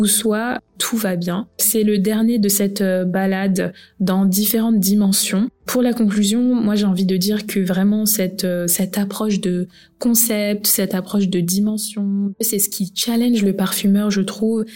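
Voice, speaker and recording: A woman speaks slowly in a somewhat breathy, dark and mellow voice at medium pitch, her intonation flat and monotone and her loudness very even. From France, of Guinean heritage. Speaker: perfume blogger and podcast host. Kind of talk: solo podcast monologue. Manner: casual with frequent fillers.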